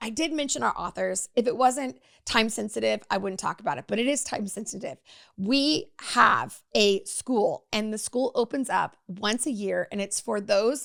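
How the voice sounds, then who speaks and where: The recording is very clean, with a silent background. A woman with a fairly high pitch and vocal fry speaks at a moderate pace with lively intonation. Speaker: podcast host and author. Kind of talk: solo podcast talk.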